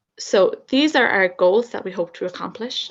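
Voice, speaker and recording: At a moderate pace, a woman talks with an Irish accent. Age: 20s. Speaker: university student. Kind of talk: student presentation.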